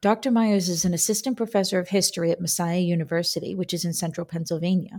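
Her dark, mellow tone is somewhat breathy, as this woman of medium pitch speaks with ordinary pitch variation. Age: 40s. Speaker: podcast host, military historian. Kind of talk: interview.

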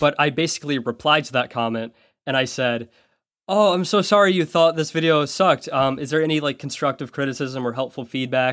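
A man with a normal speaking voice talks at a fairly high pitch and a fairly quick pace. Pitch variation is ordinary, and the recording is very clean with a silent background. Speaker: YouTuber and podcast co-host. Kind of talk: casual chat. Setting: voice call.

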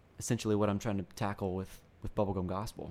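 Speaking at a moderate pace in an American accent, a man has a fairly low pitch, a dark, mellow tone and monotone, flat intonation. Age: 20s. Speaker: pastoral resident and author. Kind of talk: interview.

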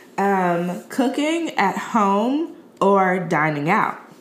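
With audible room echo, a woman with an American accent speaks at a very slow pace with a medium pitch and very wide pitch swings. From Chicago. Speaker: podcast host. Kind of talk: casual interview.

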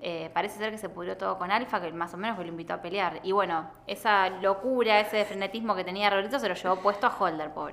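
A woman at a medium pitch with a Rioplatense accent, very fast with hardly any pauses, fairly even intonation, noticeable background noise. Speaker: podcast host. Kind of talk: casual chat.

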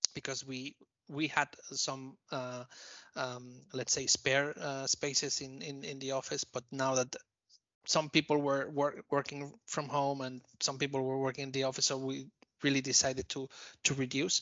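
A man's fairly high voice, monotone and flat, at a moderate pace. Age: 50s. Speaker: managing director. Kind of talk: interview. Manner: halting, many repeated words.

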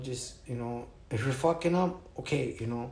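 A man with an American accent at a medium pitch, somewhat breathy, with audible room echo. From Wisconsin. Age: 30s. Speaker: former prisoner. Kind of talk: interview. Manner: halting.

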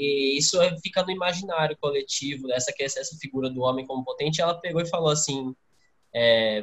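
With ordinary pitch variation and a moderate pace, it is an ordinary speaking voice. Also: man. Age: 20s. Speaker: university student, podcast co-host. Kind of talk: casual interview chat.

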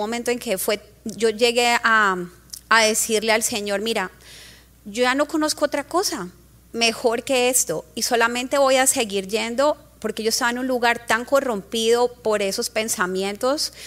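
The speaker has a strong Colombian accent. The pitch varies in an ordinary way. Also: woman, fairly high pitch for a woman, moderate pace. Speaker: congregation member. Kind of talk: testimony.

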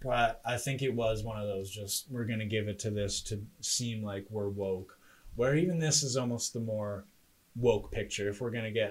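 Somewhat breathy, a man with a fairly low pitch talks at a fairly quick pace. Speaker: podcast host. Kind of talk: casual banter debate show. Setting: home spare bedroom studio, livestreamed.

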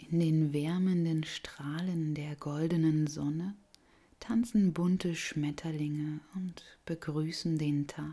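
Very slow and very low, a woman's voice comes across gentle, calm, dark and mellow, with fairly even intonation. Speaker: yoga nidra guide. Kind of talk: guided meditation. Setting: recorded audio for listener lying down. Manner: slow, soft and soothing; gentle, calm, unhurried with long pauses.

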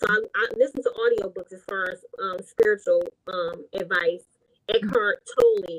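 A woman speaks at a moderate pace with an American accent, her loudness swinging widely, in a dry, close recording with no echo. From Detroit, Michigan. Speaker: author and nurse. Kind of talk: interview.

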